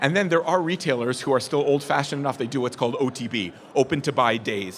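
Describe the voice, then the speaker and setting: Noticeable background noise surrounds a man speaking at a fairly high pitch with lively intonation. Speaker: business presenter. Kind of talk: presentation to live audience. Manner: fast; animated.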